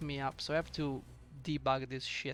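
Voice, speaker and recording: A man with a non-native accent over music in the background. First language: not English. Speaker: indie game developer. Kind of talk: devlog screen walkthrough. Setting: at home at night. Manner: hesitant, stammering.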